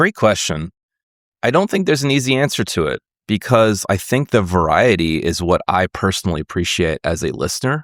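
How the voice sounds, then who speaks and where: This man has an American accent and a fairly low pitch for a man, talking at a fairly quick pace with very wide pitch swings. The sound is dry and close with no echo, on a very clean recording with a silent background. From USA. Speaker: podcast host and musician. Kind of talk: interview conversation.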